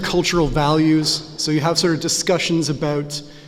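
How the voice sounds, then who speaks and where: The speech comes at a moderate pace with audible room echo. Noticeable background noise sits behind it. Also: man. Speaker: academic author and lecturer. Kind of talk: lecture. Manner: many filler sounds (uh, um).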